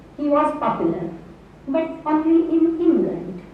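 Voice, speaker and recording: With a Marathi accent, a woman speaks at a very slow pace and high pitch amid noticeable background noise and audible room echo. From Maharashtra, India. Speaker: English professor. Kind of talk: lecture. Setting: university hall with audience.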